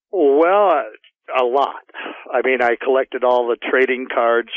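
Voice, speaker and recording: A man talks at a fairly slow pace in a plain, everyday voice, with ordinary pitch variation. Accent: American. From US Midwest, Illinois (Will County). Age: 60s. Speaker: retired electrician telling an encounter story. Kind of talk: interview.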